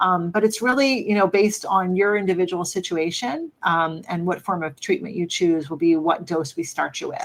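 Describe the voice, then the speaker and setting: A woman speaks with an American accent in an ordinary speaking voice. Her pace is moderate and her pitch variation ordinary. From US Northeast, Philadelphia. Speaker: physician. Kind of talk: Q&A answers on medical topics. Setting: live online Q&A. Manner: conversational, frequent fillers.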